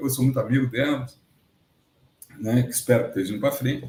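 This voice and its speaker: This man has a fairly high pitch and a dark, mellow tone. His voice is somewhat breathy. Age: 60s. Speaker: agronomist and retired researcher, interviewee. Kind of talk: casual interview chat. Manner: animated.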